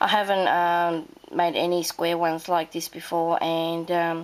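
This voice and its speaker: This woman has an Australian accent and a fairly low pitch. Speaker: crafting video creator. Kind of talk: casual show-and-tell. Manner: halting, many fillers.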